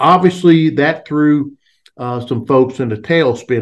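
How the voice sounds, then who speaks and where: Ordinary pitch variation from a man over a quiet background. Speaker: wildlife biologist and industry advocate. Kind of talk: interview.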